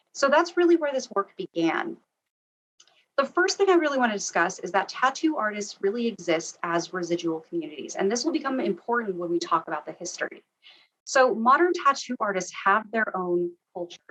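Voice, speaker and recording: A woman with an American accent speaks at a fairly quick pace. Her fairly high voice swings very widely in pitch. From US, Arizona. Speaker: tattoo artist researcher and historian. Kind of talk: lecture.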